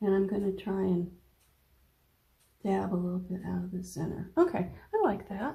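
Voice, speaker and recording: The voice is dark, mellow and somewhat breathy, mumbling at a moderate pace with fairly even intonation and long, frequent pauses. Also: woman, medium pitch for a woman. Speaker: watercolor painting teacher. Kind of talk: painting tutorial. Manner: relaxed, thinking aloud.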